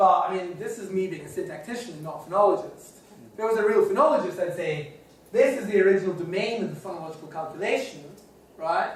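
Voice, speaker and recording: A high-pitched man at a very fast pace, with ordinary pitch variation, big swings in loudness, audible room echo and noticeable background noise. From Scotland. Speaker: linguistics professor. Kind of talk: lecture. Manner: conversational, with frequent hesitations.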